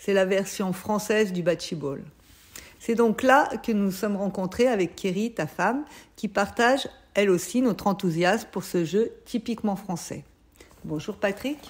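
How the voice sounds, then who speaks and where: A woman talks in an ordinary speaking voice. Her pace is fairly slow. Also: medium pitch for a woman, ordinary pitch variation. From Savoie, southeastern France. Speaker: French teacher and interviewer. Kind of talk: interview. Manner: clear, formal.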